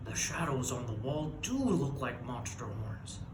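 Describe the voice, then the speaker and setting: A man puts on a character voice at a moderate pace and a medium pitch. Loud background noise and a slight echo are heard. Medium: read story. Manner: blustery, stammering when scared.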